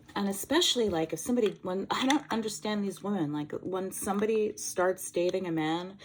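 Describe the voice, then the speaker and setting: Noticeable background noise runs beneath the recording. A woman speaks at a moderate pace with ordinary pitch variation. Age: 50s. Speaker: lifestyle vlogger. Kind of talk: casual chat. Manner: animated.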